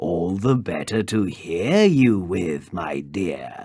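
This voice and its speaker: A put-on character voice at a very slow pace. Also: man, very deep, low pitch for a man. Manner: growling.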